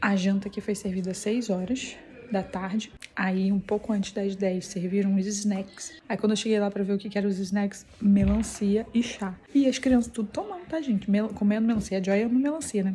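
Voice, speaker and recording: A soft-spoken woman with a medium-pitched voice talks at a moderate pace with fairly even intonation. Noticeable background noise can be heard. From Brazil, Petrópolis, Rio de Janeiro. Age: 30s. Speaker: family vlogger. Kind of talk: casual vlog. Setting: school building at a church camp. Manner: speaking softly.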